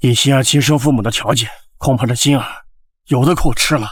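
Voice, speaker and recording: Putting on a character voice, a man talks at a fairly quick pace in a raspy, medium-pitched tone, with fairly even intonation and very even loudness. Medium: short film.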